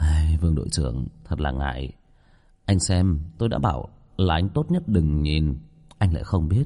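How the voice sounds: Using a put-on character voice, a man speaks at an extremely low pitch with a dark, mellow tone, lively intonation and a moderate pace.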